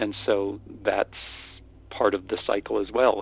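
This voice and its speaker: The speaker has an American accent and a moderate pace. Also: man. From US Upper Midwest, North Dakota. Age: 60s. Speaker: retired professor. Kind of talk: interview. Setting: radio show. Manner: halting.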